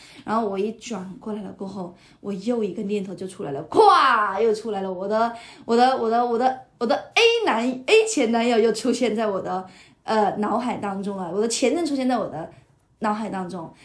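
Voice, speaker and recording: A woman speaks at a fairly high pitch and a moderate pace, with ordinary pitch variation. Room echo is audible. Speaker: podcast guest, teacher colleague of host. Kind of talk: casual chat. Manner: animated.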